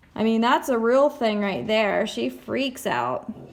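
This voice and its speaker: Moderately paced speech from a woman over noticeable background noise. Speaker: musician and video host. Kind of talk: casual vlog tutorial. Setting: home living room. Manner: animated; soft-spoken.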